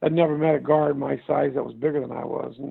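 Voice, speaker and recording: With a Midwestern US accent, a man talks at a very fast pace. His fairly high voice stays monotone and flat. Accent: US Midwest. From US Midwest (Indiana). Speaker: former basketball player, league founder. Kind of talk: interview. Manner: repetitive, stammering restarts.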